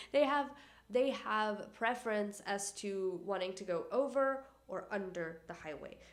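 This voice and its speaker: Audible room echo surrounds a woman speaking at a fairly slow pace. Her tone is animated and her intonation lively. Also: medium pitch for a woman. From Canada. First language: not English. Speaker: environmental YouTuber. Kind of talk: casual educational vlog.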